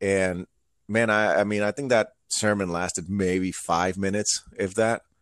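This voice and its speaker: A normal speaking voice from a man, fairly low in pitch, at a fairly slow pace with fairly even intonation, in a very clean recording with a silent background and a dry, close sound with no echo. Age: 30s. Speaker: preacher and motivational speaker. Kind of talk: casual chat.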